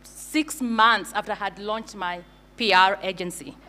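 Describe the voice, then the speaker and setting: Here a woman speaks in a Kenyan accent. Her voice is fairly high, with a bright, sharp tone. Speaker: brand agency founder. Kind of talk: conference talk. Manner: hesitant with fillers.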